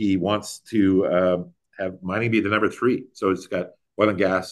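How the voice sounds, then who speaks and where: In a fairly low pitch, a man talks at a moderate pace with monotone, flat intonation. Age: 60s. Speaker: mining company executive. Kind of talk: interview. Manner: halting, many repetitions and fillers.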